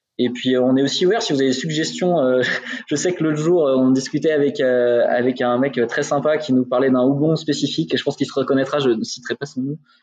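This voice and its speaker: Noticeable background noise beneath a fairly quick delivery with ordinary pitch movement. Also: man, fairly high pitch for a man. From Burgundy, France. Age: 30s. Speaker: brewery co-founder. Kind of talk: casual interview. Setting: in the brewery, remote video call.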